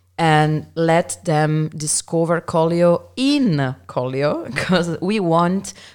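At a very slow pace, a woman with an Italian accent and a very deep, low pitch speaks with ordinary pitch variation. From Milan, Italy. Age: 30s. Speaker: winery representative. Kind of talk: casual chat.

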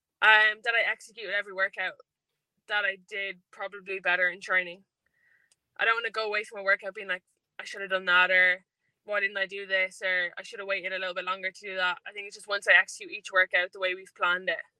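A woman with an Irish accent speaks at a very fast pace in a bright, sharp tone, her medium pitch held monotone and flat. Her loudness swings widely, and the sound is dry and close with no echo. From Ireland. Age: 20s. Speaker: athlete. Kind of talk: interview. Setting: in a car.

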